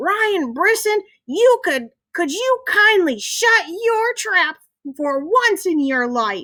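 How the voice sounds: Shouting in a put-on character voice at an extremely high pitch, a woman speaks very slowly with very wide pitch swings.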